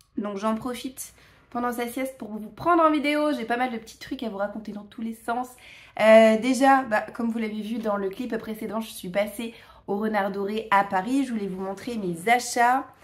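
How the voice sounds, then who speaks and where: A woman talks at a moderate pace with ordinary pitch variation. Noticeable background noise can be heard. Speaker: vlogger. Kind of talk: casual vlog talk. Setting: at home, filming herself. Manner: hesitant, many fillers.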